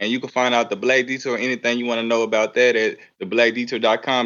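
In a monotone, flat intonation, a man speaks at a medium pitch. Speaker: journalist and podcast founder. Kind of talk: casual interview.

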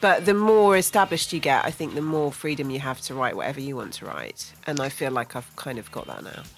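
A woman's very deep, low voice at a fairly quick pace, with music in the background. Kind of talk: jokey banter played along with the host's radio patter, a mock-formal show intro. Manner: mischievous, animated and giggly, with a wry, gently sarcastic tone.

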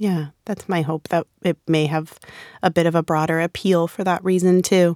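A woman speaks at a moderate pace in a fairly low, monotone voice with flat intonation. The very clean recording has a silent background and a dry, close sound with no echo. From Rhode Island. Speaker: psychologist and author. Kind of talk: casual chat. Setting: recording studio.

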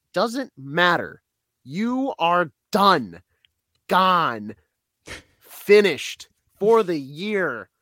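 In a raised, projected voice, a man speaks very slowly at a high pitch with a bright, sharp tone, very wide pitch swings and long, frequent pauses. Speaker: sports podcast co-host, radio producer. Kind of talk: casual sports chat. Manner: animated.

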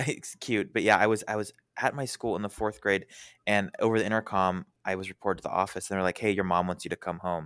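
On a very clean recording with a silent background and a dry, close sound with no echo, a man with a fairly low pitch talks very fast with fairly even intonation. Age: 20s. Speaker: podcast guest. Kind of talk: casual chat.

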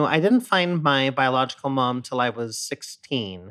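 On a very clean recording with a silent background, a man with an American accent talks at a fairly slow pace in a fairly high pitch with a bright, sharp tone. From US West Coast, San Diego. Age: 30s. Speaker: Broadway actor. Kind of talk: casual chat.

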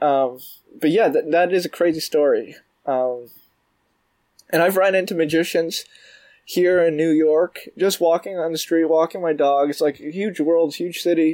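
Pausing long and often, a man with a Canadian accent talks at a moderate pace with a high pitch and fairly even intonation. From Canada, Toronto. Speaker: magician. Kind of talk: casual chat.

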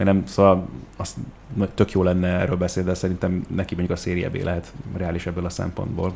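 A man talks at a fairly quick pace in a very deep, low pitch. His intonation is monotone and flat. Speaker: football podcast co-host. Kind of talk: casual chat.

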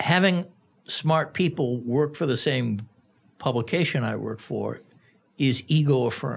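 A man's medium-pitched, somewhat breathy voice with an American accent, at a fairly slow pace with ordinary pitch variation and long, frequent pauses. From US Northeast, Boston. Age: 60s. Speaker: sports journalist. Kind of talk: casual interview chat.

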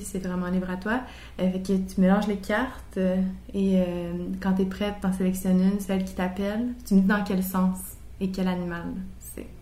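Amid audible room echo, a woman speaks at a moderate pace in a somewhat breathy, dark, mellow tone, her medium pitch held in a monotone, flat intonation. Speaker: podcast host. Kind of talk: interview.

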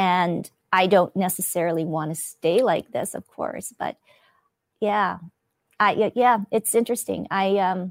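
With a Canadian accent, a woman speaks fairly slowly at a medium pitch, in an unremarkable speaking voice with ordinary pitch variation. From Canada, Winnipeg. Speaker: TV host and podcaster. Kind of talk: interview.

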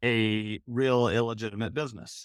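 Recorded very cleanly with a silent background and a dry, close sound with no echo, a man with an American accent uses a normal speaking voice at a medium pitch and a fairly slow pace. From Michigan. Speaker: podcaster, PR professional. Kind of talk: casual chat.

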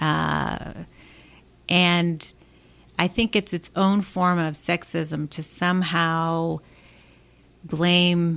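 A woman with a Chicago accent speaks at a fairly low pitch in a very clean recording with a silent background. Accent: Chicago American. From Chicago, southwest side. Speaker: political strategist and commentator. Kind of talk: interview conversation.

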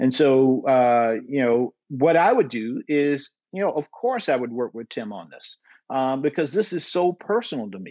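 A man's medium-pitched voice in an American accent, at a moderate pace with ordinary pitch variation. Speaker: Senate candidate. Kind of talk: interview. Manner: halting.

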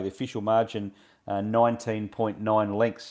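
Recorded very cleanly against a silent background, a man with a plain, everyday voice speaks at a medium pitch and a moderate pace. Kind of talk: radio interview recapping weekend races, relaxed analytical chat, not a live call. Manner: informal and easygoing, with frequent 'uh' pauses.

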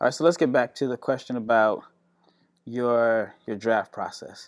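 Fairly slow speech on a very clean recording with a silent background. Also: man. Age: 40s. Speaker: basketball podcast host and scout. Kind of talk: interview. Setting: recording on location.

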